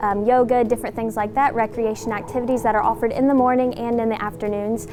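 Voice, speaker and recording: Music plays behind a woman speaking at a fairly quick pace. Her intonation stays fairly even. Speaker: student tour guide. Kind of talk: campus tour walkthrough.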